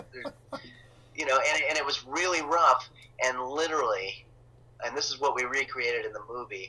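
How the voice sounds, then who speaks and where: Through noticeable background noise, a man speaks at a moderate pace with long, frequent pauses. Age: 50s. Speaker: comedian. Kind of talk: casual chat.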